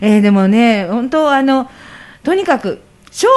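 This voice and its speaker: A woman speaks at a fairly slow pace in a fairly high pitch, with lively intonation. It is an unremarkable speaking voice. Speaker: radio host. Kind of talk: casual interview. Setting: radio studio.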